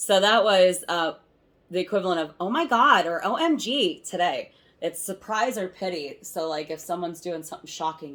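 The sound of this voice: Lively intonation marks this woman's speech. She talks at a moderate pace with an Ohio accent. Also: medium pitch for a woman.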